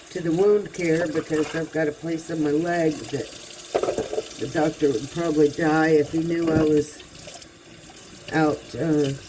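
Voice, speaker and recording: Speaking at a fairly slow pace with long, frequent pauses, a woman with a very deep, low pitch uses fairly even intonation and a relaxed tone over noticeable background noise. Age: 60s. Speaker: vlogger. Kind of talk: casual monologue. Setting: home kitchen, doing dishes. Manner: relaxed, conversational.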